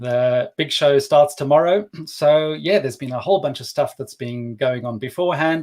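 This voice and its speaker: A fairly high-pitched man with a South African accent and ordinary pitch variation. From South Africa, Cape Town. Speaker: developer advocate, livestream co-host. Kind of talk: casual live stream chat. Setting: live stream.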